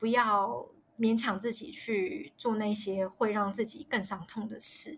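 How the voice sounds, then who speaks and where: A woman's voice sounds somewhat breathy. Her pitch varies in an ordinary way. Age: 30s. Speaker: miscarriage story guest. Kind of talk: personal testimony interview. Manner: halting, many fillers.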